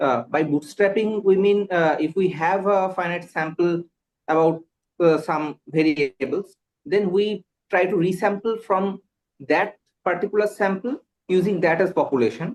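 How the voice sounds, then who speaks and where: A man with a Bengali accent speaks at a moderate pace with high pitch and ordinary pitch variation. His loudness stays very even. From India, West Bengal. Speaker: exam candidate. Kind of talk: mock job interview. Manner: halting, many fillers.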